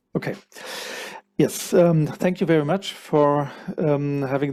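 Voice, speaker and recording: A man with a German accent, fairly high pitch and a dark, mellow tone, talking at a fairly slow pace with fairly even intonation in a very clean recording with a silent background. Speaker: cluster manager, keynote speaker. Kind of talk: conference keynote presentation.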